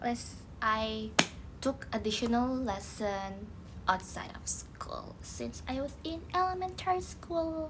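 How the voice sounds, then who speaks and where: A woman is heard speaking against noticeable background noise. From Indonesia, West Java. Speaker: idol group member. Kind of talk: live stream chat. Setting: live stream. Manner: animated.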